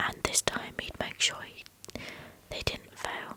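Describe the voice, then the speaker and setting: A woman is whispering. Noticeable background noise surrounds her. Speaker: ASMR creator. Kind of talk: audiobook-style reading of a novel for sleep. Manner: whispered, soft.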